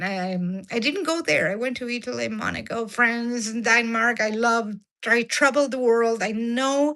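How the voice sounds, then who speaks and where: In an Argentine accent, a woman speaks at a fairly slow pace with a fairly high pitch, a bright, sharp tone and ordinary pitch variation, over a quiet background. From Argentina. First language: Spanish. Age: 60s. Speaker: diet and cooking vlogger. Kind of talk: live stream chat with viewers. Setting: live stream. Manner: halting with many fillers.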